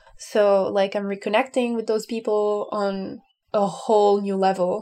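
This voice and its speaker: In a French accent, a woman speaks at a fairly slow pace with a medium pitch. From France. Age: 20s. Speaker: urban planner. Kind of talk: casual chat.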